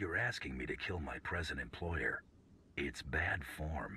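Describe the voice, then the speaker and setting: Through clear background noise, a man puts on a character voice with a very deep, low pitch. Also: moderate pace. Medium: video game. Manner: dry, laconic.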